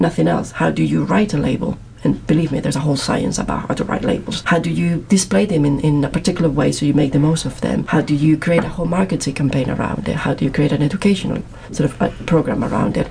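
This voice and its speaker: Lively intonation and a very fast pace in a Spanish accent, over noticeable background noise. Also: woman, very deep, low pitch for a woman, hardly any pauses. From Madrid, Spain. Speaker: PhD student. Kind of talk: casual interview chat.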